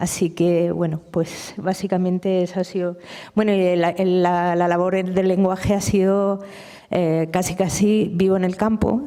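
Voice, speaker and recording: Monotone and flat in intonation, a woman with a dark, mellow tone speaks at a fairly slow pace and medium pitch, her loudness very even. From Murcia, Spain (Lorca area). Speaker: novelist and poet. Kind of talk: public literary conversation. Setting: university lecture hall with audience.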